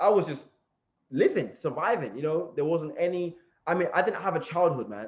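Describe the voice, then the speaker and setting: A man talks at a fairly quick pace with a London accent. His pitch is high for a man. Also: lively intonation. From East London, England. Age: 20s. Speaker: motivational speaker. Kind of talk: motivational talk, personal story. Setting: group call.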